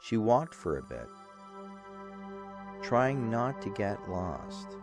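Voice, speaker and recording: With music in the background, a man speaks at a very slow pace and a medium pitch, his voice making very wide pitch swings. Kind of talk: bedtime story narration. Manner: soft, rhythmic.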